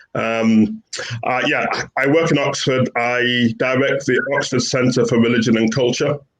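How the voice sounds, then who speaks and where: A man speaks with a Yorkshire accent at a medium pitch. His loudness stays very even. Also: ordinary pitch variation, fairly slow pace. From northern England, Bradford, West Yorkshire. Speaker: professor. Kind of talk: panel discussion.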